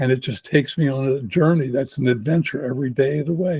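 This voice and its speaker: A man's fairly high, somewhat breathy voice shows ordinary pitch variation. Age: 80s+. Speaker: geneticist and entrepreneur. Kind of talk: casual interview.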